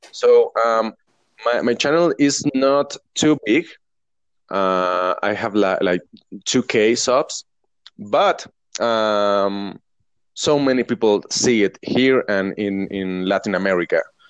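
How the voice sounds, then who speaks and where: A man with a Mexican accent speaks at a very slow pace and a medium pitch, his intonation lively. The sound is dry and close, with no echo. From Mexico. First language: Spanish. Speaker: professional drummer and online teacher. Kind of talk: casual interview chat. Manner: halting, with frequent restarts.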